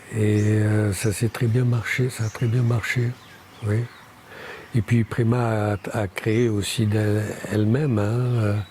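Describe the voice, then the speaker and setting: Over noticeable background noise, a man at a medium pitch speaks at a very slow pace in a monotone, flat intonation with very even loudness and long, frequent pauses. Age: 60s. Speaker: Auroville pioneer and architect. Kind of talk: interview. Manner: hesitant, many fillers.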